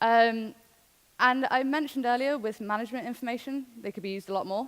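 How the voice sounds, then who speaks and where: A woman talks at a very fast pace in a fairly high pitch. Her pitch varies in an ordinary way. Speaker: conference speaker. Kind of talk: conference talk.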